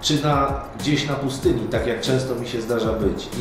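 Over music in the background and with audible room echo, a man speaks at a moderate pace with ordinary pitch variation. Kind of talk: motivational talk to camera. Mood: warm, earnest, smiling.

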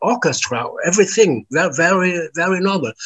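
A man with a German accent at a moderate pace, against a quiet background. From Germany. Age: 70s. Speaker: artist and musician. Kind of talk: interview. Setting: remote call from home. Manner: halting. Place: home room. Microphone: video call.

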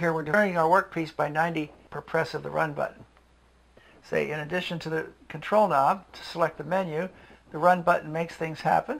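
A man speaks at a moderate pace. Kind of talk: tutorial. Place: workshop. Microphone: camera far.

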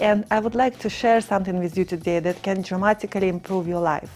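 With faint music in the background, a woman talks at a fairly quick pace with fairly even intonation. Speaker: author. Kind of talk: promotional pitch to camera. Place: studio. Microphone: lapel.

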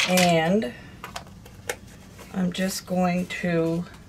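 A woman's voice over noticeable background noise. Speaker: home cooking vlogger. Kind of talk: tutorial. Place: kitchen. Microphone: phone near.

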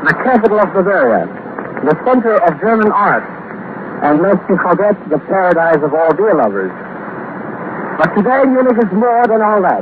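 A man speaks at a high pitch and a moderate pace, with long, frequent pauses. His loudness stays very even despite noticeable background noise. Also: dry sound with no echo. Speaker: radio news correspondent reporting live from Munich. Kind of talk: live radio news report. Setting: shortwave transatlantic broadcast, 1930s. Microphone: old recording.

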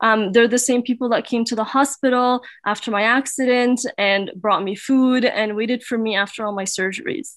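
A woman speaks in a plain, everyday voice at a fairly high pitch, with ordinary pitch variation. She keeps a moderate pace with hardly any pauses against a quiet background. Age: 20s. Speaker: conference speaker. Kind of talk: talk; personal talk to online audience. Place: home room. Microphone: webcam.

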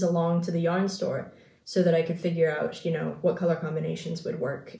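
Heard with audible room echo, a woman speaks in a relaxed tone at a fairly low pitch. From New Zealand, partly raised in Singapore. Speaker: craft video creator. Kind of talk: casual chat. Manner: relaxed, with frequent ums. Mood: relaxed, chatty. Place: home room. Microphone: phone near.

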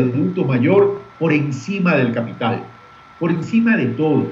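A man's voice with lively intonation at a fairly slow pace, with audible room echo and music in the background. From Ecuador, Guayaquil. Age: 60s. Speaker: presidential pre-candidate and former journalist. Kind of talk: political interview. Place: office. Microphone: webcam.

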